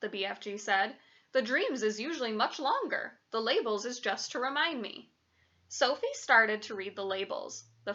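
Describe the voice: The reading aloud is plain, but the intonation is lively.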